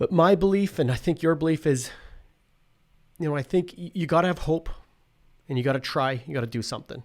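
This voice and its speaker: Speaking at a fairly quick pace with a Canadian Prairie accent, a man uses a fairly high pitch and ordinary pitch variation on a very clean recording with a silent background. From Saskatchewan, Canada. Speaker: professor. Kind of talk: casual chat. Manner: halting.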